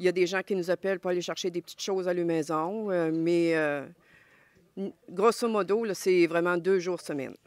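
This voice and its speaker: Recorded very cleanly against a silent background, a woman talks at a moderate pace with fairly even intonation and a fairly low pitch. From Quebec, Montmagny. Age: 60s. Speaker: charity volunteer president. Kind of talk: interview. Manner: hesitant, many fillers.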